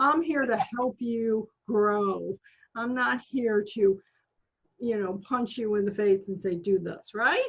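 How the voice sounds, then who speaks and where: At a very slow pace, a woman with an American accent and a fairly high pitch speaks with ordinary pitch variation. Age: 60s. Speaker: podcast host and book coach. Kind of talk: interview.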